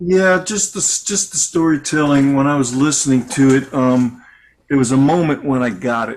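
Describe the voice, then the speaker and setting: Moderate pace and ordinary pitch variation from a man with a fairly high pitch. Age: 60s. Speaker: interviewer. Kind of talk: interview. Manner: animated.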